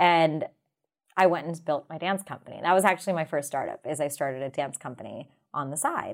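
A woman's ordinary speaking voice, an ordinary speaking voice in a fairly low pitch at a fairly quick pace, in a very clean recording with a silent background. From US, Indian-American family. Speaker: entrepreneur and dancer. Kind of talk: interview.

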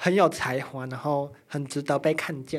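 Speech at a moderate speed, recorded very cleanly with complete background silence. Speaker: Vtuber. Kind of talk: casual chat. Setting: studio. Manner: animated.

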